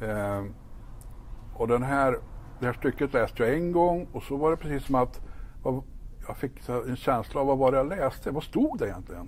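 Moderate-paced speech from a man with a fairly high pitch, ordinary pitch variation and long, frequent pauses. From Sweden, northern Värmland (Ekshärad). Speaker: pastor. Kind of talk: faith testimony interview.

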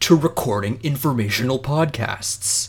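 Somewhat breathy, the voice has very wide pitch swings in a very clean recording with a silent background. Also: man. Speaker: podcast co-host. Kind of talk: casual chat.

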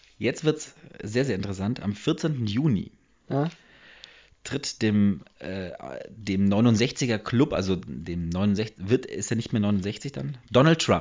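A man with a fairly low pitch speaks very slowly. His intonation is lively. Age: 20s. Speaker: podcast co-host. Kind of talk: casual chat.

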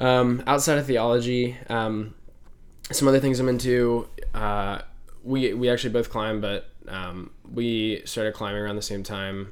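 Long, frequent pauses break up the moderate pace and fairly even intonation, with audible room echo. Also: man, medium pitch for a man. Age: 20s. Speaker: podcast host and college student. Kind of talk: casual chat.

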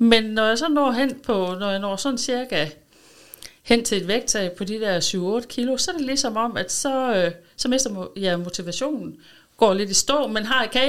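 Her voice is a normal speaking voice, fairly high in pitch, with lively intonation. The woman is recorded very cleanly against a silent background. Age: 50s. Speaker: schoolteacher, weight-loss client. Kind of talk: interview. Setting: studio.

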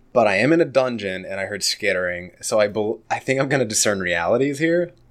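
Speaking at a medium pitch with lively intonation, this man has an unremarkable speaking voice. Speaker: podcaster and game player. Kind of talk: tabletop role-playing game actual play.

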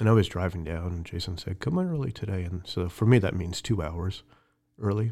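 A man's very deep, low, somewhat breathy voice with a dark, mellow tone and an American accent, at a fairly quick pace with ordinary pitch variation, on a very clean recording with a silent background. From New York, near the Bronx. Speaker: church elder candidate. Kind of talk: interview testimony.

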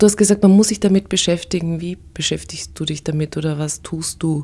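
Her voice is somewhat breathy and fairly low, a woman's dark, mellow tone delivered with fairly even intonation. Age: 40s. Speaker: podcast host. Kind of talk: interview.

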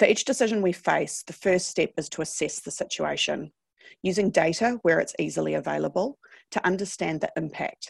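Against a quiet background, a woman speaks at a moderate pace in a dry, close sound with no echo. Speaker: business data consultant. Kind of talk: webinar presentation.

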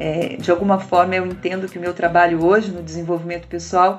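Over music in the background, a woman with a medium-pitched voice speaks at a moderate pace. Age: 50s. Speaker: podcast host, personal development coach. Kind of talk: solo monologue podcast.

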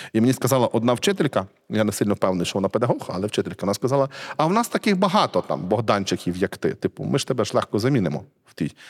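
A man at a very fast pace and fairly low pitch, with vocal fry and very wide pitch swings, on a dry, close, echo-free sound and a very clean recording with a silent background. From central Ukraine, Cherkasy region. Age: 40s. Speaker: literary scholar and museum director. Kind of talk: casual interview conversation.

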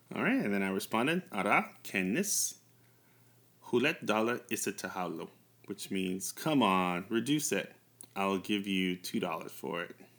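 A man with a normal speaking voice and an American accent talks at a moderate pace, fairly low in pitch with lively intonation. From US, New York. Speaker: language podcast host. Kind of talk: language lesson.

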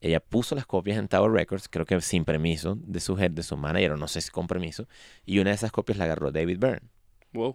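A man with a very deep, low pitch speaks at a fairly quick pace with ordinary pitch variation. The recording is very clean and silent behind him, with a dry, close sound and no echo. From Venezuela. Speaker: musician. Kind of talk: interview. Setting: studio.

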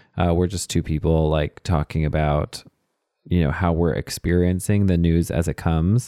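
A man with an American accent speaks at a moderate pace in a very deep, low, dark and mellow voice, with fairly even intonation and very even loudness, in a very clean recording with a silent background and a dry, close sound with no echo. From Texas. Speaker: podcast host. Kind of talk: casual interview.

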